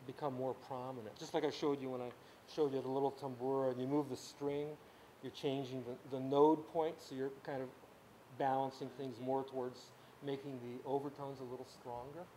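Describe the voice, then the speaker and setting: A man's medium-pitched, dark, mellow voice, flat and monotone, at a fairly quick pace with audible room echo. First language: Ukrainian. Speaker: music teacher. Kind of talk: lecture. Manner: halting.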